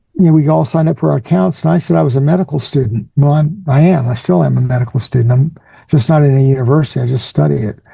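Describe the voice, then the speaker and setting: A somewhat breathy man's voice, fairly high with ordinary pitch variation, dark and mellow in tone, at a fairly quick pace. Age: 60s. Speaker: cancer survivor and patient advocate. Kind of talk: interview.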